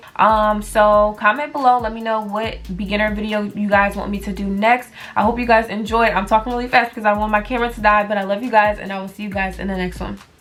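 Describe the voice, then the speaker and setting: Very fast pace with hardly any pauses, monotone, flat intonation and big swings in loudness, over music in the background. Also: woman, fairly high pitch for a woman. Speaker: business vlogger. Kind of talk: tutorial. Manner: casual, filler-heavy.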